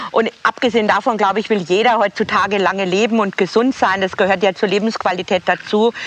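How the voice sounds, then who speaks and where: A woman talks very fast with hardly any pauses, keeping her intonation fairly even and her loudness very even. Background noise is noticeable. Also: medium pitch for a woman. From Bavaria, Straubing area. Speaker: celebrity make-up artist. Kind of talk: casual chat. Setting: outdoors, walking.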